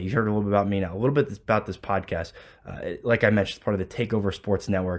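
A man with a fairly low pitch talks at a very fast pace, his loudness swinging widely. The recording is very clean, with a silent background. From Columbus, Ohio. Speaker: sports podcast host, former college football player. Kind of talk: solo podcast monologue. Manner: filler-heavy, casual.

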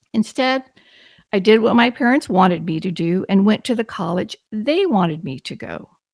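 Her pitch fairly high and her intonation lively, a woman with an American accent and an ordinary speaking voice talks at a moderate pace with big swings in loudness, in a very clean recording with a silent background. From Texas. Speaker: podcast host, teacher and principal. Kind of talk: scripted monologue.

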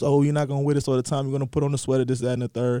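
The man's voice is fairly high in pitch, with a dark, mellow tone. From US South. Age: 30s. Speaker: media professional. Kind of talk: casual chat. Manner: halting.

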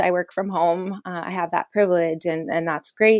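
Recorded dry and close with no echo, a woman speaks at a medium pitch with a Californian accent. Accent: Californian American English. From Southern California. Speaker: peace builder and activist. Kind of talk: interview. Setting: remote call from home.

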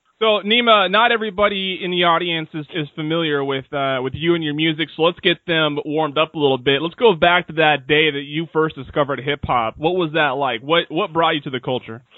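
An unremarkable speaking voice in an American accent, fairly quick with hardly any pauses and ordinary pitch variation. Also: man, fairly high pitch for a man. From Seattle, Washington, US. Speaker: podcast host. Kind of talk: casual interview.

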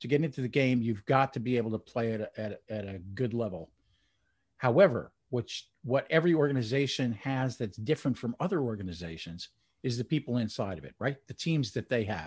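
Somewhat breathy speech moves at a fairly quick pace. The background is quiet. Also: man, medium pitch for a man. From New Jersey, near New York City. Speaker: IT and customer experience industry analyst. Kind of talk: interview.

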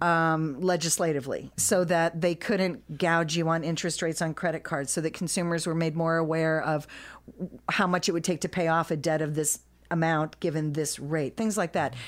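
On a very clean recording with a silent background, a woman with an American accent uses a normal speaking voice at a fairly low pitch, moderate pace, fairly even intonation and very even loudness. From Kirkwood, St. Louis County, Missouri. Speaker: cafe owner. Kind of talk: interview. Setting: studio.

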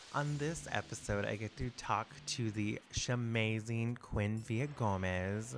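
A man speaks with an American accent at a medium pitch. His pace is very slow. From Texas. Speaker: podcast host. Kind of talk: scripted intro; casual chat. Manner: animated.

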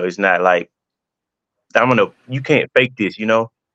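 Against a quiet background, a man's voice comes through dry and close with no echo. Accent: Southern US. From Mississippi. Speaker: teacher and coach. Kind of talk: testimony.

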